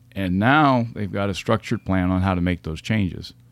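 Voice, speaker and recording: On a very clean recording with a silent background, an unremarkable speaking voice moves at a moderate pace with ordinary pitch variation. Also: man. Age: 50s. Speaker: retired fire captain turned leadership consultant. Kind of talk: interview.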